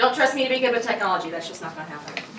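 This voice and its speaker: High-pitched female voice with audible room echo and noticeable background noise. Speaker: study abroad scholarship advisor. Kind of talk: information session presentation. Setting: room with student audience. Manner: fast; casual, energetic.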